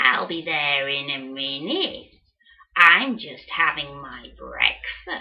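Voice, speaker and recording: A woman cackles in a put-on character voice with a very deep, low pitch. She speaks at a very slow pace. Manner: sly, tricky.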